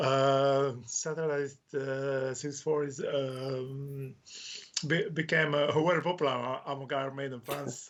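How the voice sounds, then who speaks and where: A man's fairly high voice in a Croatian accent, very slow, with monotone, flat intonation. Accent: Croatian accent, non-native English. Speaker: author. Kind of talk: casual interview chat. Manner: halting, many hesitations.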